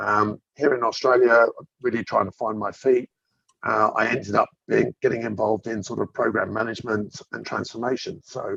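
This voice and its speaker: A man with a British accent in a dry, close sound with no echo. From UK. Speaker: government chief data officer. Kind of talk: interview. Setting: live webinar.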